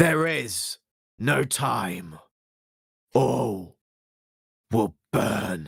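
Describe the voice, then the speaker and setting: Putting on a character voice, a man sounds raspy, with a fairly low pitch and very wide pitch swings. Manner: eerie.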